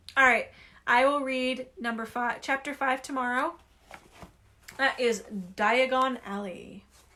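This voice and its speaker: A woman's high-pitched, raised, projected voice, a bright, sharp tone, fairly even intonation, a fairly slow pace with long, frequent pauses. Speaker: livestreamer reading a book aloud. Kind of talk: reading aloud. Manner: casual.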